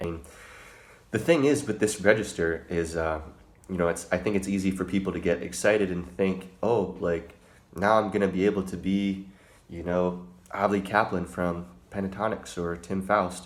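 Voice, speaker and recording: A man speaks with a very deep, low pitch. His pace is moderate and his intonation fairly even. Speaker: singer and vocal coach; vocal coach. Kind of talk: tutorial; casual tutorial chat. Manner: casual, filler-heavy. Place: home room. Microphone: phone near.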